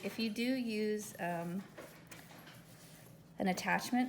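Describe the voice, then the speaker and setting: A woman speaks with audible room echo. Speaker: home baker, dessert caterer. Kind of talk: cooking tutorial. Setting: home kitchen.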